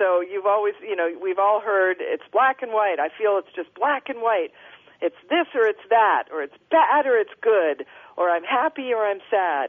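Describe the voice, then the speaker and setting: A woman with an American accent and a normal speaking voice, fairly high in pitch, at a moderate pace with lively intonation. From Minnesota, Minneapolis. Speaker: author. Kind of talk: interview.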